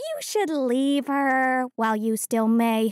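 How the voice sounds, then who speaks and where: A female-sounding, put-on character voice comes through at a high pitch and a fairly slow pace. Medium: audio drama. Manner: curt, cautionary.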